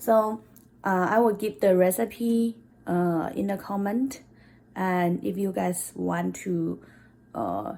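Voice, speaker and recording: Speaking at a very slow pace, a woman talks with a Chinese accent. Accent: non-native English accent, Chinese. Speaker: cooking vlogger. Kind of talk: cooking tutorial. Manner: halting, with fillers.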